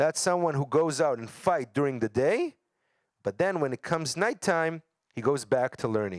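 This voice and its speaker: In a dry, close recording with no echo, a man speaks with lively intonation and a fairly high pitch. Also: moderate pace. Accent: Israeli. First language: Hebrew. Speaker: educator. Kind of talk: lecture.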